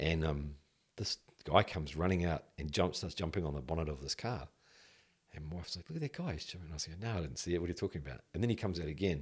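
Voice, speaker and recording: A man with a New Zealand accent, very deep, low pitch, ordinary pitch variation and a very fast pace. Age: 50s. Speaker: former police detective. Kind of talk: casual interview.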